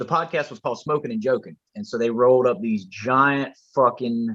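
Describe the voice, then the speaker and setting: In an American accent, a man talks at a medium pitch with lively intonation and big swings in loudness. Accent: Southern accent likened to a Texas rapper. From rural US. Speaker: rapper. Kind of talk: casual chat. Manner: animated.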